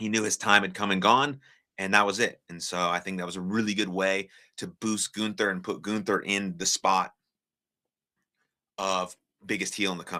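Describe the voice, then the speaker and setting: A man with an American accent speaks in an animated tone at a moderate pace, with long, frequent pauses. The recording is very clean, with a silent background. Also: fairly low pitch for a man. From United States. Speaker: live streamer and wrestling commentator. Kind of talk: live stream reaction chat. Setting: live stream on TikTok. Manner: casual, animated.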